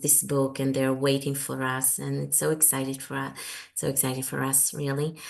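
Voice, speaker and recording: Speaking at a moderate pace, a woman with an Israeli accent has a very deep, low pitch. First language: Hebrew. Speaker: author. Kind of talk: interview. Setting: video call. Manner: halting.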